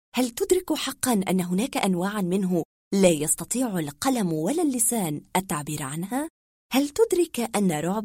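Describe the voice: Simple read-aloud speech against a quiet backdrop.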